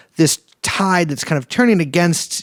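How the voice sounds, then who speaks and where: A man speaks at a moderate pace. The sound is dry and close with no echo, in a very clean recording with a silent background. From San Francisco, US West Coast. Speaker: podcast host. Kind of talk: interview conversation. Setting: apartment interview. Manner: halting, many repetitions and fillers.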